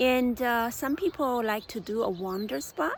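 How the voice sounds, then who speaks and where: A woman talks at a very slow pace. She has a non-native accent. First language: not English. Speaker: forest therapy guide. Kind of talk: guided meditation. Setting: outdoors on a park bench. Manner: halting, many fillers.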